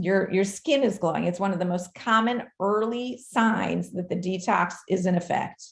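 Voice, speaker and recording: A woman's somewhat breathy voice moves at a moderate pace. She leaves hardly any pauses. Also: medium pitch for a woman, ordinary pitch variation. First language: not English. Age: 40s. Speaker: doctor. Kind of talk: live Q&A.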